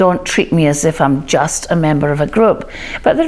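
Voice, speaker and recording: A woman with a Scottish accent talks over noticeable background noise. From Scotland. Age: 60s. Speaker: diversity and inclusion speaker. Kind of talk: talk to camera.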